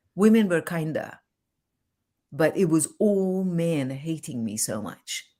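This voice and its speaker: With a non-native accent, a woman speaks very slowly in a fairly low, dark, mellow voice, her intonation lively, her loudness swinging widely and her pauses long and frequent. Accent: foreign. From Iran. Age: 60s. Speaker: relationship coach. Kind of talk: interview.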